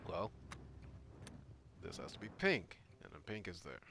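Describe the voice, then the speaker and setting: Music plays in the background as a man talks. His pitch is fairly low and his pace moderate. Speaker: gaming YouTuber. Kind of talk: game playthrough commentary. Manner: casual, animated; stuttering at times.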